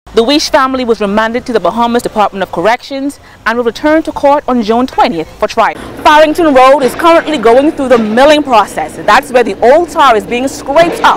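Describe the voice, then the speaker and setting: Noticeable background noise sits behind a woman. She speaks at a fairly quick pace in a high pitch. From Bahamas. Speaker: news reporter. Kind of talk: TV news report.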